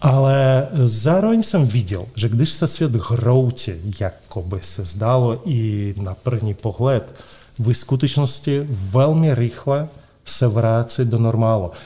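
A man with a Russian accent at a very slow pace, medium pitch, a dark, mellow, somewhat breathy tone and ordinary pitch variation. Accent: Russian accent in Czech. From Moscow, Russia. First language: Russian (speaking Czech). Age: 50s. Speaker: real estate company director. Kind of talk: interview. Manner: halting.

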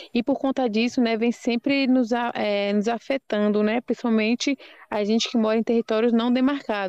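A woman speaks in a flat, monotone way at a very even loudness. The background is quiet. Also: moderate pace. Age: young. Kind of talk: podcast interview.

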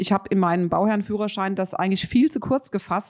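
A woman speaks with an animated tone. Her pitch sits in the medium range. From Rheinhessen, Germany. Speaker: podcast host, building consultant. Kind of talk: casual interview. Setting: remote recording, separate locations.

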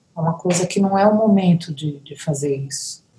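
A woman's voice, fairly low in pitch. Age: 60s. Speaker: musician. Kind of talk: casual chat.

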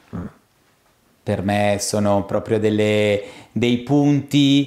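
The man's voice is fairly low in pitch, with ordinary pitch variation. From Argentina, moved to Italy (Milan) at age 3. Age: 30s. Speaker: drinks industry education manager. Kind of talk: interview.

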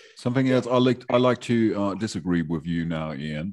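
A man with a German accent and lively intonation. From Germany. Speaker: podcast co-host. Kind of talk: casual interview chat.

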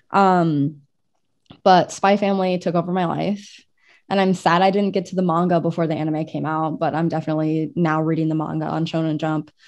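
A woman with an unremarkable speaking voice talks with fairly low pitch and fairly even intonation. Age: 20s. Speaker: anime podcast co-host and cosplayer. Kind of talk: casual chat.

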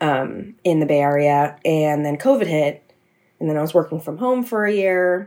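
Speaking at a moderate pace, this woman has a very deep, low pitch, lively intonation and an American accent. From US West Coast, San Mateo, California. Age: 20s. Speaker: podcast industry professional. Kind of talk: casual chat.

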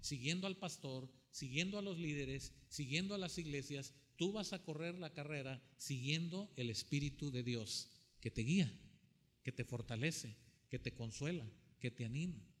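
A man speaks at a fairly slow pace in a fairly high, somewhat breathy voice. His intonation is lively. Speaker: preacher. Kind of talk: sermon preached to a live congregation, with scripture reading. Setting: church with congregation, also streamed online. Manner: animated, repetitive, exhortative, with rhetorical questions to the audience.

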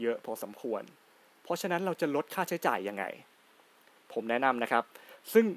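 Very wide pitch swings from a man at medium pitch, in a very clean recording with a silent background and a dry, close sound with no echo. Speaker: podcast host. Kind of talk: solo podcast talk.

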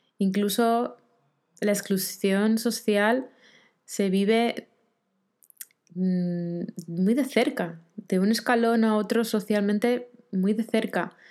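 Speaking very slowly with long, frequent pauses, a woman keeps a medium pitch, fairly even intonation and very even loudness. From Argentina, Rosario. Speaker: podcast host, life coach. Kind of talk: solo reflective monologue.

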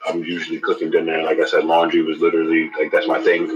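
A man talks with a New York accent. His pace is very fast. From New York City, Harlem. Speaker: guest, father. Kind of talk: casual chat.

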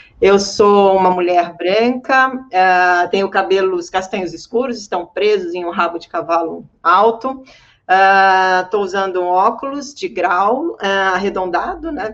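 Her pitch sits in the medium range as the woman speaks, with ordinary pitch variation. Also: fairly slow pace. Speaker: journalist and accessibility advocate. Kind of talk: panel discussion. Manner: animated.

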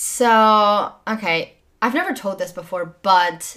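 A woman speaks at a fairly slow pace. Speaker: podcast guest. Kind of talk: casual chat. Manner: loud.

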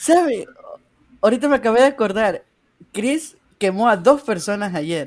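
Long, frequent pauses break up the speech of a man whose high pitch moves in very wide swings. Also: moderate pace. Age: 20s. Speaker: podcast co-host. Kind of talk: casual chat.

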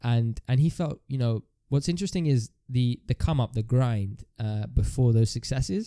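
A man with a dark, mellow tone and a medium pitch speaks at a moderate pace with ordinary pitch variation, the sound dry and close with no echo. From Ethiopian heritage. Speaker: podcast co-host. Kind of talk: casual chat.

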